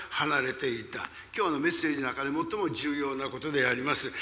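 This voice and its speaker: The speaker is a man. Noticeable background noise runs behind him. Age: 80s. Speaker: pastor. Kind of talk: sermon. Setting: church.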